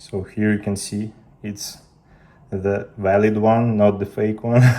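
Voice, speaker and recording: A man speaks very slowly with a dark, mellow tone. His intonation is monotone and flat. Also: fairly low pitch for a man. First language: Russian. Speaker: tech youtuber. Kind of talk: tutorial.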